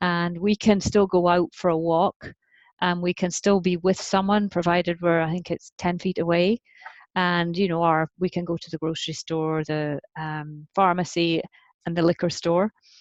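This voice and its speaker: With a Scottish accent, a woman speaks at a moderate pace in a fairly low pitch and a monotone, flat intonation, the sound dry and close with no echo. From Scotland. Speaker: parenting author. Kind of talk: podcast interview. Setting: remote call.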